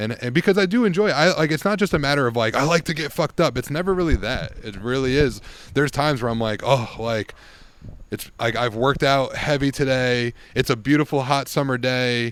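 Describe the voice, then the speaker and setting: A man talks in a plain, everyday voice with ordinary pitch variation. His pace is fairly quick. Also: medium pitch for a man. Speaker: yoga teacher. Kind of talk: casual chat.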